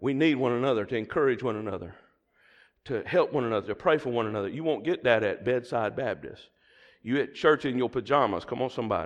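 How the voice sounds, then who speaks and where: A man talks at a very fast pace with an animated tone and a Southern US accent against a quiet background. His pitch is medium, with ordinary variation. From US South. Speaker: preacher. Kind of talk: sermon. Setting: church.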